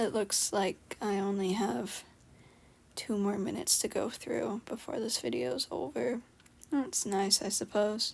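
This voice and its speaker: A woman with vocal fry speaks fairly slowly at a medium pitch, her pitch swinging very widely. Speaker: hobby artist video creator. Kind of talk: casual voiceover chat while drawing. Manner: low-energy, halting with fillers.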